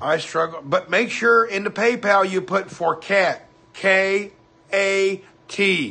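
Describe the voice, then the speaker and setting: A man with an American accent uses a raised, projected voice at a high pitch with ordinary pitch variation. He speaks at a very slow pace. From US South, Hendersonville, Tennessee. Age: 50s. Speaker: livestreamer. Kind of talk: casual chat.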